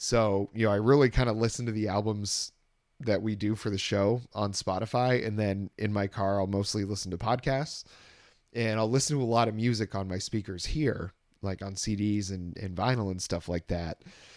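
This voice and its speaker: A man with a plain, everyday voice speaks at a moderate pace on a very clean recording with a silent background. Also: fairly low pitch for a man, fairly even intonation. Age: 30s. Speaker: podcast host. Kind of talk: casual chat.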